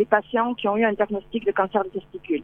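A woman is speaking here. She has a strong southern French accent. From southern France. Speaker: breast cancer survivor and advocate. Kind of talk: phone interview. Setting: phone call outdoors at a bus stop.

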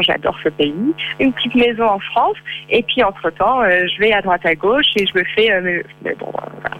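Fairly high-pitched and fairly slow, a woman speaks with ordinary pitch variation over noticeable background noise. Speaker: freelance travel blogger. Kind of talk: phone interview. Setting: phone call. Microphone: far from the phone.

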